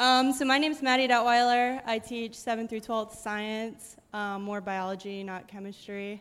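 A woman with an American accent speaks in an ordinary speaking voice, fairly high in pitch, at a moderate pace with hardly any pauses and fairly even intonation, on a very clean recording with a silent background. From Pennsylvania. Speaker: science teacher. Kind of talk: panel discussion at church service.

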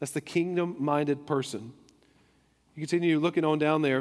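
The delivery is neither hurried nor slow. It is a normal speaking voice. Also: man. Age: 30s. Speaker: pastor. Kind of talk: sermon. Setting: church.

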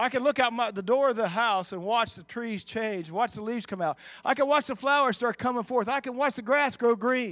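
A man's extremely high pitch with ordinary pitch variation, big swings in loudness and hardly any pauses, on a very clean recording with a silent background. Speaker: preacher. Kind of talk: sermon. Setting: church; church with audience. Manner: fast talker.

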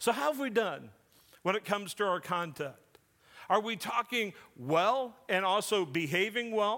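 A man's raised, projected voice, high-pitched with a bright, sharp tone, lively intonation and a moderate pace. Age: 40s. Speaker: pastor. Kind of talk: sermon.

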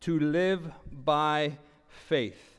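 The speaker is a man with a fairly high pitch. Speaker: pastor. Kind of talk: sermon. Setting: church with online stream. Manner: loud.

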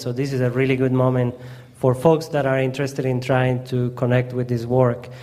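A man with a strong Colombian accent over noticeable background noise. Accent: heavy Colombian Spanish. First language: Spanish. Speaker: community organizer. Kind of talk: presentation. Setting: church gathering.

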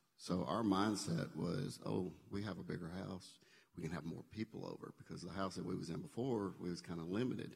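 A man with a Southern US accent speaks in a very deep, low pitch. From Memphis area, Tennessee. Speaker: church member. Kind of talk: testimony.

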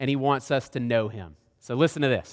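This man talks at a moderate pace with a Southern US accent and ordinary pitch variation, recorded very cleanly against a silent background. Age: 30s. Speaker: guest preacher. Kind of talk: sermon. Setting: church.

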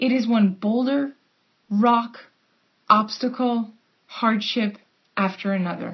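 A woman speaks at a very slow pace. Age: 30s. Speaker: preacher. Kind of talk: sermon.

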